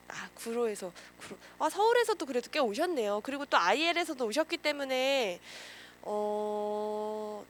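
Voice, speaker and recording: Lively intonation at a fairly slow pace, over noticeable background noise. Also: woman. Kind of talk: lecture. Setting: lecture room with audience.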